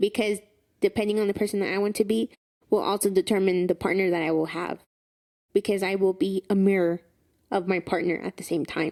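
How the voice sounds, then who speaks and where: A woman with a Spanish accent, a dark, mellow tone and a fairly quick pace broken by long, frequent pauses, in a dry, close sound with no echo. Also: medium pitch for a woman, fairly even intonation. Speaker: podcast co-host. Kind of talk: casual chat.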